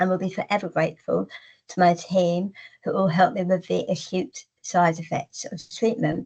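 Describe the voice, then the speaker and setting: A woman speaks in a somewhat breathy voice at a moderate pace. Her pitch moves in an ordinary way. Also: medium pitch for a woman. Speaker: cancer patient. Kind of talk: testimony.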